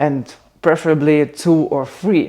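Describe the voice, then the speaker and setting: A woman with a Russian accent speaks in a very deep, low voice, her tone dark and mellow and her pitch moving in an ordinary way. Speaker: content creator. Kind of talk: casual vlog chat. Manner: halting, many fillers.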